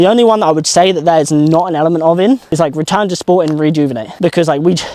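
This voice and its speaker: Over noticeable background noise, a man talks very fast at a high pitch with ordinary pitch variation. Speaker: knee strength coach. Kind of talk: tutorial.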